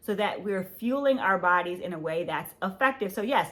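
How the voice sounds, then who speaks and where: A woman talks in an animated tone at a moderate pace, her pitch medium with ordinary pitch variation. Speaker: podcast host. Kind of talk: health podcast monologue. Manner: loud.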